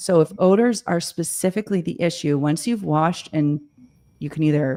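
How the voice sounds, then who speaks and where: The speaker moves at a fairly slow pace. Pitch varies in an ordinary way. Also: woman. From Toronto, Canada. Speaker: cleaning expert, show host. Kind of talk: live stream Q&A advice. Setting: live video call stream.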